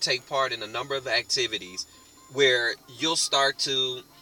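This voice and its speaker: With music in the background, the man keeps to a moderate pace. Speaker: online marketing network member. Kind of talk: motivational talk to camera.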